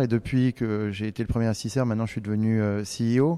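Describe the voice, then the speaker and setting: A man speaks with a dark, mellow tone. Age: 40s. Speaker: tech company CEO. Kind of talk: interview. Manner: hesitant, many fillers.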